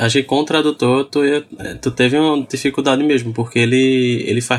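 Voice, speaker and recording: Noticeable background noise sits behind this man's voice. He speaks at medium pitch with fairly even intonation. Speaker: podcast guest, website colleague. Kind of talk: casual chat. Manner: halting, many repetitions.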